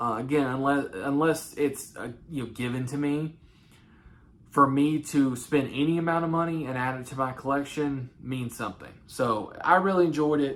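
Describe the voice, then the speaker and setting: Someone speaks at a moderate pace in a Southern accent. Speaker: movie collector YouTuber. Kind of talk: casual monologue. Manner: halting, many fillers.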